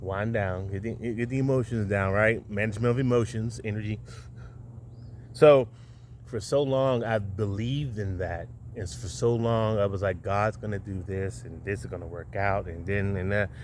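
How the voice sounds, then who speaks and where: Audible room echo surrounds a man who talks in an animated tone at a fairly low pitch. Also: ordinary pitch variation, moderate pace. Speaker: video podcast host. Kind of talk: monologue rant to camera. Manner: animated, stuttering from excitement.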